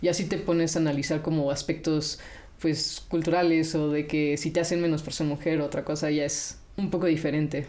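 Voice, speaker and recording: A woman's very deep, low voice with a dark, mellow tone, flat and monotone, fairly quick, amid audible room echo. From Mexico. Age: 20s. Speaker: robotics engineer. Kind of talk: interview.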